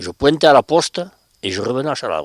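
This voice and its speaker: At a fairly quick pace, a man of medium pitch speaks with lively intonation. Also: dry, close sound with no echo. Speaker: former factory worker. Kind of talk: interview.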